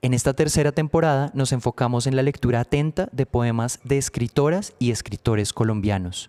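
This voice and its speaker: The man has a dark, mellow tone. He speaks at a moderate pace in a dry, close sound with no echo. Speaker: podcast host. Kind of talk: podcast introduction.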